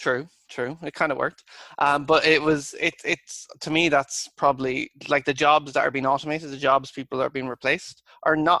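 A man with an Irish accent, fairly high-pitched, with a bright, sharp tone and flat, monotone intonation, at a moderate pace with hardly any pauses, in a dry, close recording with no echo. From Ireland. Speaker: engineer. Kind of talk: casual chat.

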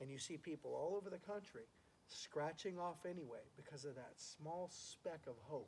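This is a plain, everyday voice with ordinary pitch variation. The pace is moderate. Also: man, fairly high pitch for a man. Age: 50s. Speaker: musician and real estate agent. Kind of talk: casual chat. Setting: at home.

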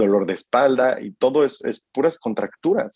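This man's speech shows ordinary pitch variation and a moderate pace. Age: 30s. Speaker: marketer sharing mental health reflections. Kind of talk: casual interview about personal mental health journey.

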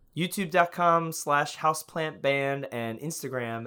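Recorded very cleanly against a silent background, a man with an American accent speaks at a fairly high pitch with a bright, sharp tone and ordinary pitch variation. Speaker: online video creator and musician. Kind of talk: casual chat.

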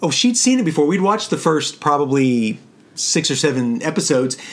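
A man with an unremarkable speaking voice, fairly high in pitch, at a moderate pace. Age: 50s. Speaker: podcast co-host, father. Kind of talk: casual chat.

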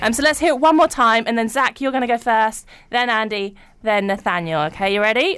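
Lively intonation colors an unremarkable speaking voice that goes at a fairly quick pace. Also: woman. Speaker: radio host. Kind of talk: casual radio chat. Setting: studio.

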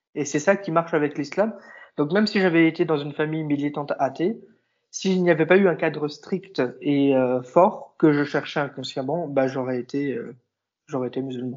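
A man speaks at a moderate pace in a fairly high pitch with ordinary pitch variation. It is a plain, everyday voice. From southern France. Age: 20s. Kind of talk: interview.

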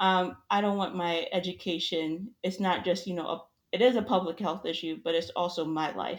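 With an American accent, a woman in a normal speaking voice talks at a moderate pace with fairly low pitch and fairly even intonation. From New York. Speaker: health educator. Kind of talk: casual chat.

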